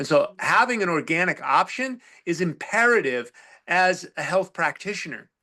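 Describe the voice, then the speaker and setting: A man with a high, bright, sharp voice projects it loudly at a moderate pace. His intonation is lively, and the background is quiet. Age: 60s. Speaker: health practitioner. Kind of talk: interview.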